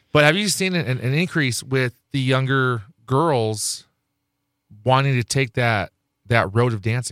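On a very clean recording with a silent background and a dry, close sound with no echo, a man at medium pitch speaks at a fairly slow pace with long, frequent pauses and ordinary pitch variation. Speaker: radio DJ. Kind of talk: casual radio interview. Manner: joking, boastful.

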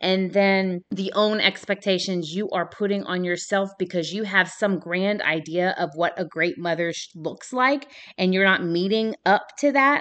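This woman's voice sits at a medium pitch and moves at a moderate pace. Her tone is warm and energetic. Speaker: podcast host. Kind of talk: solo podcast talk, motivational and faith-based. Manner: passionate, animated, loud at times; warm, energetic, conversational.

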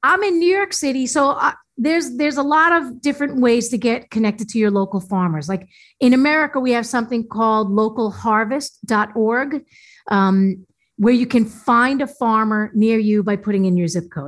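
In a very clean recording with a silent background, a woman speaks at a moderate pace in a normal speaking voice with lively intonation. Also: fairly high pitch for a woman. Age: 50s. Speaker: natural foods chef and health coach. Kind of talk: interview.

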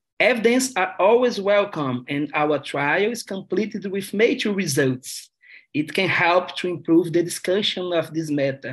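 Lively intonation marks this man's high voice, with a Brazilian accent. He keeps a moderate pace. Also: quiet background. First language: Portuguese. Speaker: gynecologic oncologist researcher.

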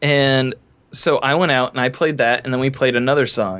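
This man has an unremarkable speaking voice with an American accent. He talks at medium pitch and a fairly quick pace. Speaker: musician. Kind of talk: casual interview chat.

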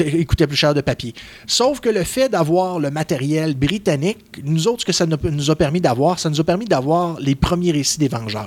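Using lively intonation and a Quebec accent, a man speaks at a moderate pace with a fairly high pitch. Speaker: comic book columnist. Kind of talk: casual chat.

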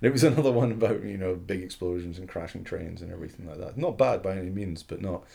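Very fast speech comes from a man with a very deep, low pitch. His pitch varies in an ordinary way. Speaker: podcast co-host, film writer. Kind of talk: casual chat.

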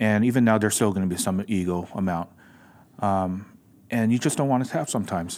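A man with an American accent, a normal speaking voice, fairly low pitch, ordinary pitch variation and a fairly quick pace. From Los Angeles, US. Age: 40s. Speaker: jiu jitsu school owner. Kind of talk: casual chat.

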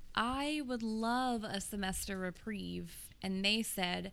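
Speaking very slowly with a bright, sharp tone, a woman with a medium-pitched voice is heard over audible room echo. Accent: American. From US South, Tennessee (Nolensville, Williamson County). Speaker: English teacher. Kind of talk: casual chat.

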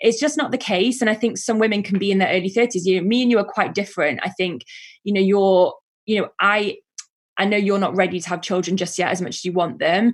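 Over a silent background in a very clean recording, a woman talks very fast at a medium pitch, somewhat breathy, with ordinary pitch variation. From northern England, Manchester. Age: 30s. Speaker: events director. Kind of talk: casual chat.

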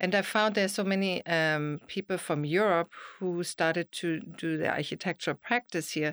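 Speaking with a German accent, a woman uses a fairly low pitch, fairly even intonation and a moderate pace. The very clean recording has a silent background and a dry, close sound with no echo. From Germany. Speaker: realtor and architectural historian. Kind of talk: casual interview.

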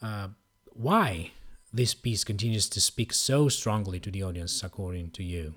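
In a plain, everyday voice, a man speaks at a fairly low pitch and a moderate pace with ordinary pitch variation. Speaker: podcast host. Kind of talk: interview conversation. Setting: video call.

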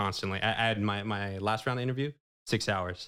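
With a Californian accent, a man speaks at a fairly quick pace and a fairly low pitch. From California Central Valley (Manteca). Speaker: banker. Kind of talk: casual interview. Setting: studio.

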